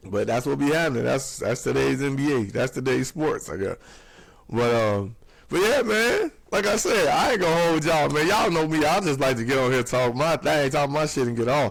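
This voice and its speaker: A man with a fairly high pitch speaks at a fairly quick pace, his animated tone and lively intonation held at very even loudness. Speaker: podcast host. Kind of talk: casual monologue podcast.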